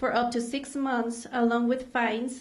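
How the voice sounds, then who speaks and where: In a Mexican accent, a woman speaks at a moderate pace and high pitch, with audible room echo around her. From Mexico. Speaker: immigrant rights advocate. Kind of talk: prepared speech. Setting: stage with audience.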